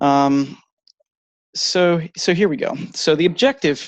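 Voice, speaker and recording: Against a quiet background, a man with an American accent speaks at a fairly high pitch with ordinary pitch variation, the sound dry and close with no echo. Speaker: presenter on economics. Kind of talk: online presentation. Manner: slight tremble in voice; hesitant with many fillers.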